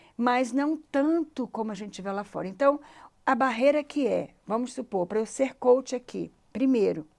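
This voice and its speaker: On a very clean recording with a silent background, a woman talks. Her pitch is high. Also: ordinary pitch variation. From Brazil. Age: 60s. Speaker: life coach. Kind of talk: interview conversation.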